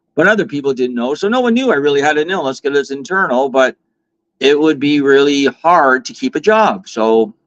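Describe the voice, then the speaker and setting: A plain, everyday voice from a man with a fairly high pitch, fairly quick pace and lively intonation, in a dry, close sound with no echo. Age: 50s. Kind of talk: interview. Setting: live online stream.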